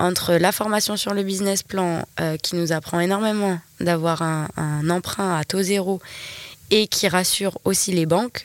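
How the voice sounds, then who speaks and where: Delivered at a fairly slow pace, this is an unremarkable speaking voice with fairly even intonation. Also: woman, medium pitch for a woman. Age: 20s. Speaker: entrepreneur, wellness center manager. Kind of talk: casual interview.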